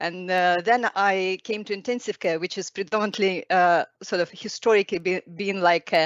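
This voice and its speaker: A woman with a non-native accent at a medium pitch and a moderate pace, with fairly even intonation. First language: not English. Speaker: specialty doctor in intensive care. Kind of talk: webinar talk. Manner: halting.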